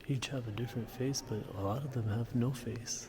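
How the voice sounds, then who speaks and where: A whispering man at a moderate pace, with audible room echo. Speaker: travel vlogger. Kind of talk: casual vlog narration. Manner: whispering in chapel.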